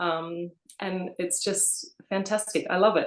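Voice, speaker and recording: A woman with an Australian accent speaks in a fairly low pitch with ordinary pitch variation. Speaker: co-author, abstract painter. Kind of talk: interview. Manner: hesitant, many fillers.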